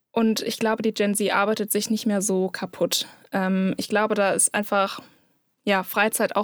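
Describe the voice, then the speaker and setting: In a very clean recording with a silent background and a dry, close sound with no echo, a woman speaks at a moderate pace with a medium pitch. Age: 20s. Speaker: social media manager. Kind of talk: casual chat.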